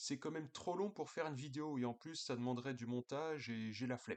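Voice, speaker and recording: A man at a medium pitch and a fairly quick pace. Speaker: political commentator. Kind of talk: casual video monologue. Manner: hesitant, many fillers.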